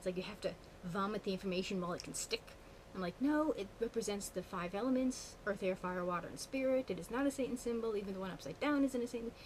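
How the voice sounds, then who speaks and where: A woman speaks at a very fast pace with ordinary pitch variation. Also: medium pitch for a woman. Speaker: witchcraft vlogger. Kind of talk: casual vlog monologue. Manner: animated.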